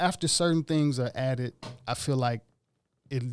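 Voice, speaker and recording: A man with an American accent talks in a normal speaking voice at medium pitch with ordinary pitch variation, recorded very cleanly against a silent background. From Ethiopia, raised West Los Angeles. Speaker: musician. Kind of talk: casual chat. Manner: relaxed, conversational.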